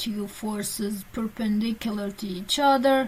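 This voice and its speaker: A woman is speaking. Her pace is very slow. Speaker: physics teacher. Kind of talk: lecture.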